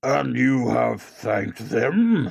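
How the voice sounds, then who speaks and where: A man uses a raspy, put-on character voice. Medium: read story. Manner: solemn, grave.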